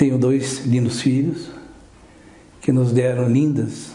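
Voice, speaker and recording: A man's medium-pitched voice at a fairly slow pace, with audible room echo. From southern Brazil, Porto União. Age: 70s. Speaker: orthopedic doctor. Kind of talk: radio interview.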